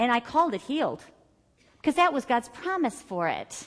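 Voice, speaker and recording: Against a quiet background, a woman speaks with a warm tone. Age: 50s. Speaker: Bible study teacher. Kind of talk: church Bible study teaching, personal healing testimony woven into scripture exposition. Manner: earnest, declarative testimony with rhythmic repeated phrases; conversational and warm, with filler words and self-corrections.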